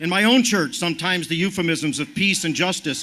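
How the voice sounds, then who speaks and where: Projecting a raised voice, a man speaks high-pitched at a moderate pace. His tone is bright and sharp, his intonation lively. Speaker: activist speaker. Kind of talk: rally speech.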